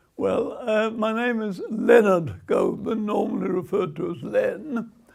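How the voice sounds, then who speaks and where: A man delivers his words fairly slowly while noticeable background noise carries on behind him. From Brighton, southern England. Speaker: retired teacher. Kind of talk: oral history interview. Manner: halting.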